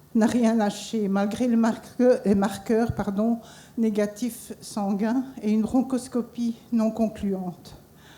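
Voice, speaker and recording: A dark, mellow, somewhat breathy voice moves at a very slow pace with fairly even intonation. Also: woman. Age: 60s. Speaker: cancer survivor. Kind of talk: testimony.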